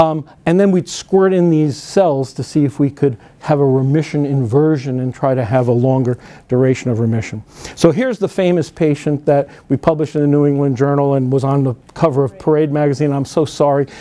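Fairly quick speech with an American accent and a dark, mellow tone. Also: man, fairly high pitch for a man, ordinary pitch variation. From northern New Jersey. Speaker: physician and cancer researcher. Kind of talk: conference lecture.

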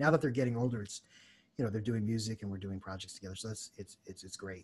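This man has a fairly low pitch and an American accent. His pitch varies an ordinary amount, and his voice is somewhat breathy. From United States. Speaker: jazz saxophonist and music teacher; educator, guest. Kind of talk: casual interview. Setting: video call. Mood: warm, reflective. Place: home room. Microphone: studio mic.

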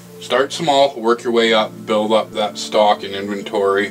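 Over faint music in the background, a man with a fairly low pitch speaks at a fairly slow pace. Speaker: hobbyist maker vlogger. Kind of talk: casual vlog chat. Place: workshop. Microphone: camera far.

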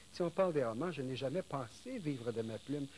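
Light background noise is heard as a man talks at a fairly quick pace and medium pitch. His voice is somewhat breathy, with ordinary pitch variation. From Quebec. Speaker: novelist; guest. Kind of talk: interview. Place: studio.

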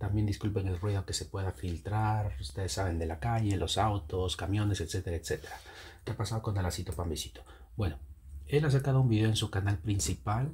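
Soft-spoken and fairly low in pitch, a man talks at a fairly quick pace. His intonation is lively, with some vocal fry. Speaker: YouTube commentator. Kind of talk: online commentary. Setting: home at night.

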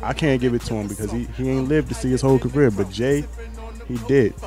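A man speaks at a fairly quick pace in a dry sound with no echo. Clear music plays in the background. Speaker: interviewee. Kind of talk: interview answer. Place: home room. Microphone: handheld.

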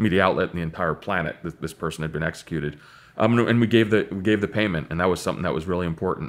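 This is a man talking. His pitch is very deep and low. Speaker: podcast guest. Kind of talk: interview answer. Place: studio.

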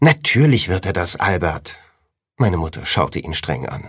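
Fairly slow male speech marked by very wide pitch swings. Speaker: audiobook narrator. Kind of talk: audiobook reading (first-person teen fantasy novel). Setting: studio.

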